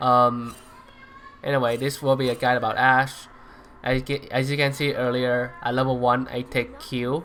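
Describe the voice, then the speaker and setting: With a non-native accent, a man speaks in a flat monotone at medium pitch against noticeable background noise. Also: moderate pace. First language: not English. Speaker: gaming YouTuber. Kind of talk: tutorial. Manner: hesitant, many fillers.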